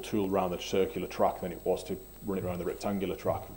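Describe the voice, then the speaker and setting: Here a man talks at a very fast pace. He has a northern English accent. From northwest England. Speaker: engineer presenting a project. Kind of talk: technical presentation. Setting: seminar.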